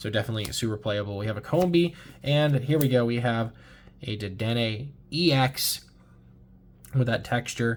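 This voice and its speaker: A somewhat breathy man at medium pitch, moderate pace, ordinary pitch variation, and long, frequent pauses. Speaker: Pokemon card YouTuber. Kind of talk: pack opening commentary. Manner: casual, some hesitations; picking up the pace.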